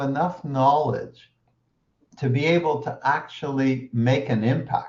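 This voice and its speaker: A somewhat breathy man at a fairly high pitch, very slow pace and ordinary pitch variation. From Quebec, Canada. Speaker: interviewer. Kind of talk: interview. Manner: halting, many repetitions.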